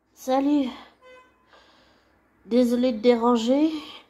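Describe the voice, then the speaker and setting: Over music in the background, a woman speaks very slowly in a high-pitched voice with fairly even intonation. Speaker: channel owner sharing audio messages. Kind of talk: casual personal monologue.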